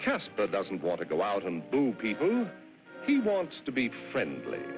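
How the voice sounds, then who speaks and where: A man talks in a playful tone at a moderate pace, with music playing in the background. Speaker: narrator. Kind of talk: cartoon narration. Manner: playful, storytelling.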